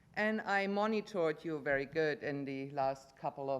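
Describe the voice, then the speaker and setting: Speaking at a fairly slow pace, a woman talks with a German accent. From Germany. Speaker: resident giving public comment. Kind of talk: public comment at council meeting. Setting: council chamber.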